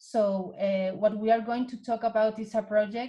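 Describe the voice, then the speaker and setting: In a Spanish accent, a woman talks at a very slow pace with fairly high pitch, fairly even intonation and a dark, mellow tone that is somewhat breathy. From Spain. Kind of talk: online seminar presentation. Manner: halting.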